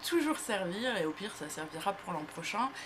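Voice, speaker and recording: Amid noticeable background noise, a woman with a medium-pitched voice speaks at a moderate pace. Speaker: beauty youtuber. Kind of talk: casual vlog. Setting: talking to camera. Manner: hesitant, many fillers.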